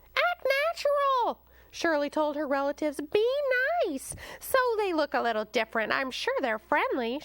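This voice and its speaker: A woman's put-on character voice, squeaky and high-pitched with a warm tone, very wide pitch swings and a moderate pace, in a dry, close recording with no echo. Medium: read story. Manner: warm, motherly.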